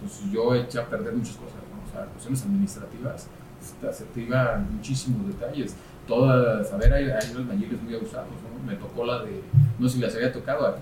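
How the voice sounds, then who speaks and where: Over noticeable background noise and audible room echo, the speech moves at a fairly quick pace with big swings in loudness. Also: man. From Mexico, Querétaro. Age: 40s. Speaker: civil engineer, construction chamber president. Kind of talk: interview.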